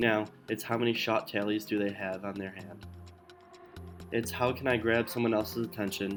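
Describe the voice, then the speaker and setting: A soft-spoken man talks at a moderate pace and fairly low pitch, with fairly even intonation. He leaves long, frequent pauses, and music plays in the background. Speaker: student. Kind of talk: narrated personal essay. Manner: mysterious tone.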